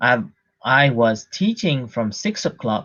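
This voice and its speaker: The man talks at a very slow pace. His voice sits at a medium pitch. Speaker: Buddhist monk teacher. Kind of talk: dhamma talk. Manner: deliberately slow.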